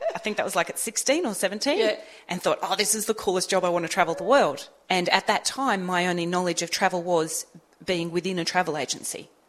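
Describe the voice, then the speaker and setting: Speaking at a fairly quick pace, a woman uses a medium pitch with ordinary variation. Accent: Australian. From Australia. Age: 40s. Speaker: motivational speaker and trainer. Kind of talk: casual radio interview chat. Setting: community radio studio.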